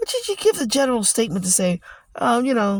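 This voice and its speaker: With an American accent, the speaker moves at a fairly quick pace, the sound dry and close with no echo. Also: man. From New York. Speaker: podcast host. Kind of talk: casual monologue. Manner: halting, many fillers and repetitions.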